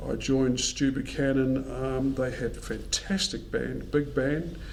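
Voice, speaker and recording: With a New Zealand accent, a man speaks fairly slowly at very even loudness amid audible room echo. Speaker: musician. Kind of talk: interview.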